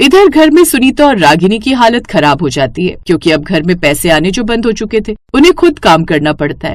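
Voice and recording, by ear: A woman's medium-pitched voice at a fairly quick pace, with big pitch swings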